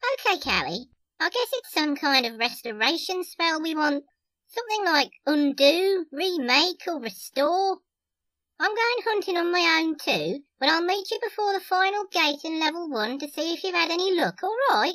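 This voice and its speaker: A man puts on a squeaky character voice at an extremely high pitch. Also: moderate pace. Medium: audio drama. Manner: chatty, familiar, calls people love and darling.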